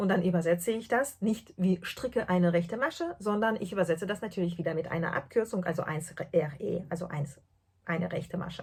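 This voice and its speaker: Her pitch is fairly low with ordinary variation, and the speaker is a woman. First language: not German (speaking German). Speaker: podcast host, translator and knitter. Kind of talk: casual podcast monologue. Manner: hesitant, many fillers.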